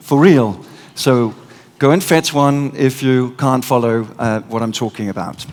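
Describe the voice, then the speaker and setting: A man speaks with a Danish accent at a fairly slow pace. His pitch is medium, with ordinary pitch variation. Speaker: conference speaker. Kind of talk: keynote talk. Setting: stage with audience. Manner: animated.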